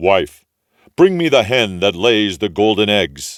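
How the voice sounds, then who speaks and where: The speaker uses a put-on character voice at a fairly slow pace. The recording is very clean, with a silent background. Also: man, fairly low pitch for a man. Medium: read story.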